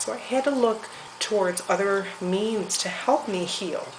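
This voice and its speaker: A woman talks at a fairly slow pace with a medium pitch and ordinary pitch variation. Noticeable background noise runs underneath. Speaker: homesteader. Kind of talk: casual talk to camera. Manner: rambling, hesitant.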